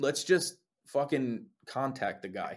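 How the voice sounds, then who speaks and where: The man speaks with a New Jersey accent at a medium pitch. His pace is fairly slow. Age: 20s. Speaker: lead singer in a band. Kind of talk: casual interview chat. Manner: laid-back, casual.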